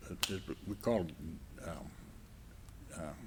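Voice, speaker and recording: The voice has vocal fry. Its pitch varies in an ordinary way. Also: man. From South Dakota. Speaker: war veteran. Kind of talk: interview answer.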